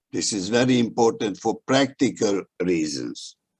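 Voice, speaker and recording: Dry and close with no echo, a man speaks in a Hungarian accent. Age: old. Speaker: history professor. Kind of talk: prepared talk at a webinar. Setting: video call. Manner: halting, with many fillers.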